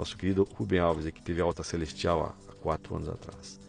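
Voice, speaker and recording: Music can be heard behind the speaker, a man. He moves along at a fairly quick pace. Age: 50s. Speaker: marketing executive and business professor. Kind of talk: interview conversation.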